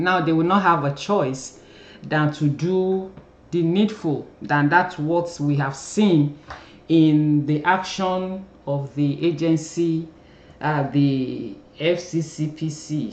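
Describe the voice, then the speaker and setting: Someone with a Nigerian accent talks at a very slow pace. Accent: Nigerian (Yoruba) English. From Nigeria, Yoruba. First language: Yoruba. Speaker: YouTube commentator, former journalist. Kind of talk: casual commentary vlog. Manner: hesitant, many fillers.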